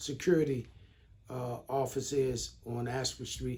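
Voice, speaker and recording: The voice is somewhat breathy with a dark, mellow tone, speaking at a very slow pace with fairly even intonation. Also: man. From Baltimore, Maryland, US. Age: 60s. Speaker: trauma response worker. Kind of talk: interview. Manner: halting, many fillers.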